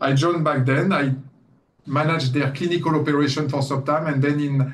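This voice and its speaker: A man's fairly high, somewhat breathy voice at a very fast pace, with monotone, flat intonation. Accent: French. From France. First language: French. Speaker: company CEO. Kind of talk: guest lecture interview. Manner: hesitant, many fillers.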